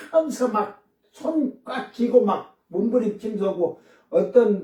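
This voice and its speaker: A man is talking. His delivery is very slow. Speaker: pastor. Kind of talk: sermon.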